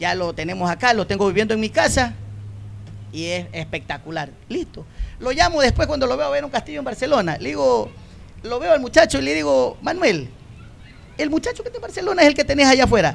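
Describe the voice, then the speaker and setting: A man's high-pitched voice at a fairly quick pace with very wide pitch swings. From Ecuador, Puerto Bolívar, El Oro province. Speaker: former professional footballer. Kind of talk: casual interview chat. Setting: live broadcast in a plaza with audience.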